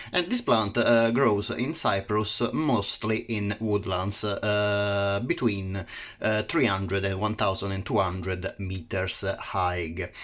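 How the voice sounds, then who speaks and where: A man's very slow speech in an Italian accent, fairly low in pitch with ordinary pitch variation and hardly any pauses. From Italy. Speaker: plant reviewer. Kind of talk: casual educational talk. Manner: halting, many fillers.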